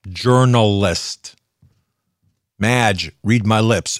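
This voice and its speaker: With an American accent, a man speaks at a very slow pace, his fairly low voice showing ordinary pitch variation. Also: long, frequent pauses. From US Pennsylvania. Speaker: radio host. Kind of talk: angry rant. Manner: indignant, sarcastic, loud.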